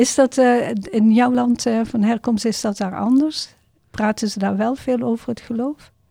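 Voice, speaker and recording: A woman's fairly high voice with a dark, mellow tone, fairly even intonation and a fairly slow pace. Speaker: podcast host and refugee organisation volunteer. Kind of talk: casual interview, guided by a card game. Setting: podcast studio.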